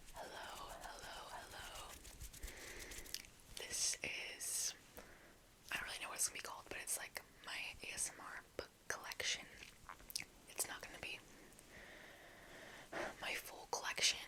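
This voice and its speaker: Whispering at a moderate pace, with long, frequent pauses and noticeable background noise. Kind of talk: ASMR whispered talk to camera about a book collection. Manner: whispered, soft.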